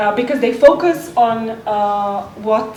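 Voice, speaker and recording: A woman speaks at a fairly high pitch with ordinary pitch variation. Noticeable background noise and audible room echo surround her. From Slovakia. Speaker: panelist on entrepreneurship. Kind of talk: panel discussion.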